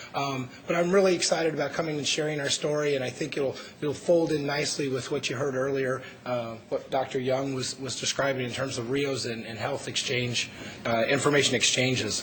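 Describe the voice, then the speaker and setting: Fairly high pitch for a man, fairly quick delivery and fairly even intonation, amid noticeable background noise and audible room echo. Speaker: conference panelist. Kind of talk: conference presentation. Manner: halting.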